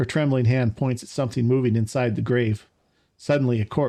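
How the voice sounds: It is a natural reading voice with fairly even intonation over a quiet background.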